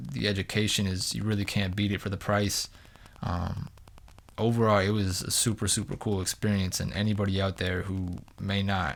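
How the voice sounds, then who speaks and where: This is an ordinary speaking voice from a man with an American accent, fairly low in pitch. He talks at a moderate pace with fairly even intonation. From New Hampshire, US. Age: 20s. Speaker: basketball performance coach and podcast host. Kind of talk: solo podcast monologue. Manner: casual, with frequent fillers and restarts.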